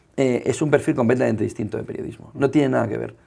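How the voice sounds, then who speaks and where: Delivered at a very fast pace, the voice has a dark, mellow tone, vocal fry and lively intonation. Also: man. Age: 40s. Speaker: journalist and media founder. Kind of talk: interview conversation.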